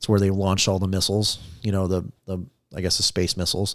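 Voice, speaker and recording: On a very clean recording with a silent background, a man with an American accent talks at a fairly quick pace in a very deep, low pitch. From US Midwest, Southeast Ohio. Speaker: police trainer and former police officer. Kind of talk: casual chat. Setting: studio.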